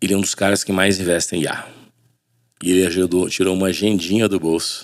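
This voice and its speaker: This man's pitch is very deep and low, and his intonation is monotone and flat. He speaks at a very fast pace. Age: 50s. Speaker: podcast host, businessman. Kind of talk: casual podcast conversation.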